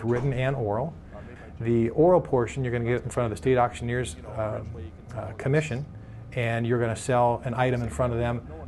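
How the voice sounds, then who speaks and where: Using a normal speaking voice, a man talks at a fairly quick pace and medium pitch with ordinary pitch variation. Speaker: auctioneering school operator. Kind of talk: interview answer.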